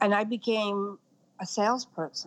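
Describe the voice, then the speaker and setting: A woman at a fairly slow pace, medium in pitch, with an American accent. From Brooklyn, New York. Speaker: fashion industry consultant. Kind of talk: interview.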